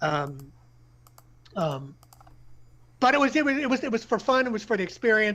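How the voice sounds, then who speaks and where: A man with a bright, sharp tone, very wide pitch swings and a fairly quick pace. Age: 60s. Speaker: poker player and streamer. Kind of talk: interview. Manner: halting, many fillers and repeated words.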